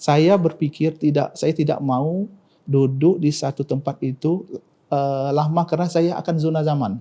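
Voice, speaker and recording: Fairly high-pitched male speech carrying a dark, mellow tone. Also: fairly even intonation, moderate pace. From South Sumatra, Indonesia. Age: 40s. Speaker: provincial government official, doctor. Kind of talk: interview. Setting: studio podcast. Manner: halting, with many fillers.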